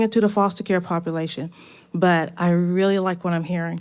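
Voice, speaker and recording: With a normal speaking voice, a woman talks at a fairly quick pace and a fairly low pitch, with fairly even intonation, in a very clean recording with a silent background. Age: 60s. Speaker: audience member, retired teacher and author. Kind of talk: audience question at live event. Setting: stage event with live audience.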